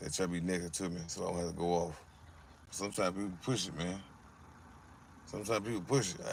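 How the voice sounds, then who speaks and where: A man with an American accent and a very deep, low pitch talks at a very fast pace with long, frequent pauses and fairly even intonation, amid audible room echo. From Alabama, US South. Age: 40s. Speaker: live streamer. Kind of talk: casual livestream chat. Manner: repetitive, stammering.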